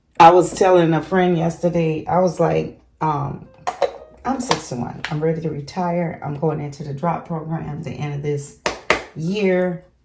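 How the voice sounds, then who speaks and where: A woman with a fairly low pitch and ordinary pitch variation talks at a moderate pace in a relaxed tone, her loudness swinging widely, with audible room echo and noticeable background noise. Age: 60s. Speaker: lifestyle vlogger. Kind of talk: casual vlog chat. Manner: relaxed, conversational.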